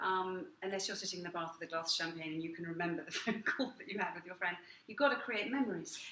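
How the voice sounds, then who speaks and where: Against noticeable background noise, a woman talks at a very fast pace with a medium pitch, ordinary pitch variation and big swings in loudness. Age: middle-aged. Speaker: restaurateur. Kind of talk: casual chat.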